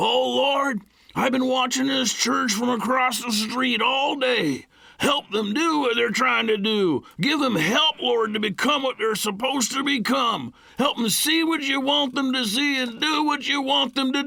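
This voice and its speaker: In a put-on character voice, a man speaks at an extremely high pitch with very even loudness. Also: moderate pace. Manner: loud, crying out.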